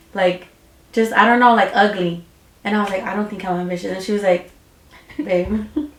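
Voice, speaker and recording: Over noticeable background noise, a woman speaks at a fairly quick pace with fairly even intonation and long, frequent pauses. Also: medium pitch for a woman. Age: 20s. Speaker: beauty business owner. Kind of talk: casual chat.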